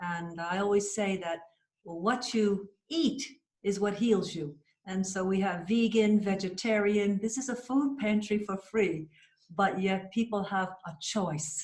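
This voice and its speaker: The speaker talks at a fairly slow pace in an American accent. The voice is somewhat breathy, with ordinary pitch variation. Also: woman, medium pitch for a woman. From USA. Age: 60s. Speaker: cancer survivor, patient. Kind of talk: interview testimony.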